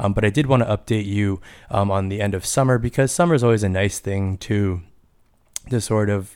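On a very clean recording with a silent background, a man with a Canadian accent and an ordinary speaking voice talks at a fairly quick pace. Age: 30s. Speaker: podcast host and high school teacher. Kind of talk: casual solo podcast monologue.

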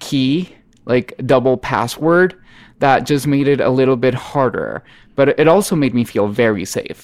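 Speaking at a fairly slow pace with a Spanish accent, a man uses a medium pitch and ordinary pitch variation in a very clean recording with a silent background. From northern Mexico, Monterrey. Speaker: singer-songwriter. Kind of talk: interview conversation.

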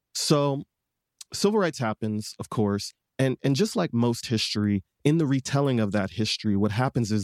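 A man with an American accent speaks at a fairly quick pace in a plain, everyday voice, medium in pitch, with lively intonation. The recording is very clean and dry, with a silent background and no echo. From Detroit, Michigan, US. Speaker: singer-songwriter and advocate. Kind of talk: interview conversation.

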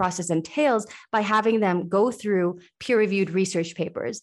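A woman with an American accent talks at a medium pitch in an unremarkable speaking voice against a quiet background. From Sweden, then US from age seven. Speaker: university faculty member in exercise science. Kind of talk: interview about teaching.

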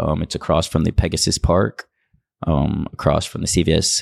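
Dry and close with no echo, a man's voice carries a very deep, low pitch and vocal fry. He keeps a moderate pace with ordinary pitch variation. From North Texas, Dallas area. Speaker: clothing brand founder. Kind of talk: casual interview. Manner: hesitant, many fillers.

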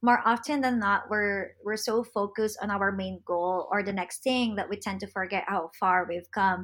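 The speaker has a Filipino accent and a moderate pace. There are hardly any pauses. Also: woman, medium pitch for a woman. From Philippines. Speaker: social media content creator. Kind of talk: interview. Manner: animated.

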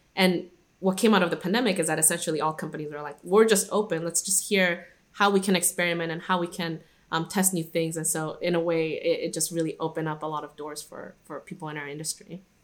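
Delivered at a very fast pace, the speech has fairly even intonation but big swings in loudness. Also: woman, fairly low pitch for a woman. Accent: American. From Guadalajara, Mexico, later Irvine, California. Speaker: workplace strategy manager. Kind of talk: interview conversation. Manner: hesitant, many fillers and restarts.

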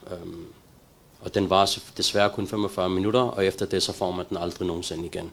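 A man with a very deep, low voice speaks at a moderate pace in a monotone, flat intonation. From Denmark, Copenhagen (Valby), Pakistani roots. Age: 40s. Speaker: recovered addict sharing his story. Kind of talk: testimony. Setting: live stream from a center. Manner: halting.

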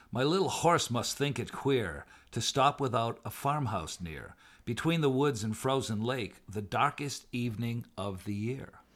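An ordinary speaking voice from a man, with lively intonation, in a very clean recording with a silent background. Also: medium pitch for a man, fairly slow pace. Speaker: podcast co-host. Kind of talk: casual banter with poem reading. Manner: playful, laughing, bantering.

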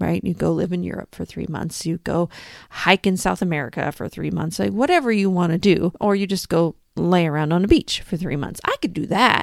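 A woman's fairly low, animated voice with vocal fry and ordinary pitch variation, at a fairly quick pace, in a very clean, dry, close recording with a silent background and no echo. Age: 40s. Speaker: podcast host, personal finance coach. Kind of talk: solo podcast monologue.

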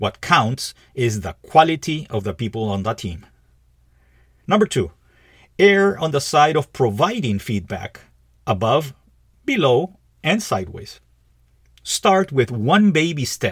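A man speaks at a fairly slow pace with long, frequent pauses, his fairly high voice somewhat breathy and swinging very widely in pitch. The recording is very clean, with a silent background. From Peru. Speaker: podcast host, leadership coach. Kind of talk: solo scripted podcast monologue.

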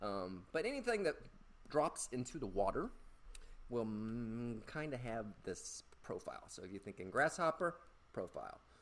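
Loudness swings widely in this voice with an American accent. Long pauses come often. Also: man, moderate pace. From US South. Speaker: fishing podcast host. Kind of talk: casual solo tutorial. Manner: playful, joking.

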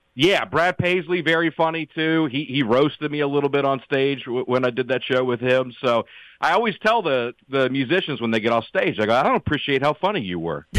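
A man talks in a Southern US accent at a fairly high pitch and a fairly quick pace. His intonation is lively, with hardly any pauses. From US South (Alabama, then Tennessee). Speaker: comedian. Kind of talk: casual chat. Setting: remote call.

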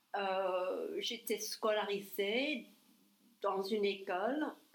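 Her voice sits at a medium pitch. The intonation is kept fairly even. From US South, New Orleans, Louisiana. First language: English (speaking French). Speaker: ESL teacher and real estate agent. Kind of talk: casual interview chat. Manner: halting, with repetitions.

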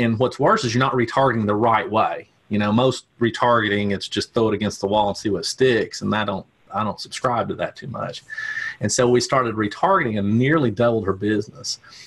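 The speaker has a Tennessee accent and a fairly quick pace. Pitch varies in an ordinary way. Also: man, medium pitch for a man. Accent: Southern US, Tennessee. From Tennessee, US South. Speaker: media buyer. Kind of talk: casual interview.

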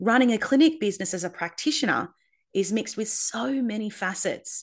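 With an Australian accent, a woman speaks at a fairly quick pace and swings her pitch very widely. The background is quiet. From Australia, Darwin. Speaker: acupuncturist and podcast host. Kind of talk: podcast monologue. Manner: enthusiastic.

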